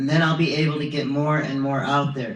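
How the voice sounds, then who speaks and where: A man's fairly high, somewhat breathy voice at a moderate pace, with fairly even intonation and audible room echo. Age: 20s. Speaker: vlogger. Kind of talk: video monologue. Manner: halting.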